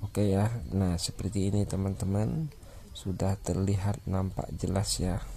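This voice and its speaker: Somewhat breathy and very deep, a man's low voice moves at a fairly slow pace with fairly even intonation. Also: very even loudness. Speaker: phone repair technician. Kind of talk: tutorial.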